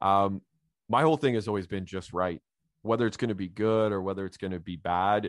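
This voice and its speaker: Fairly low-pitched, a man with a Canadian accent has a plain, everyday voice, speaking at a fairly quick pace with ordinary pitch variation and a dry, close sound with no echo. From Canada, Ottawa Valley. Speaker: crime novelist. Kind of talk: interview.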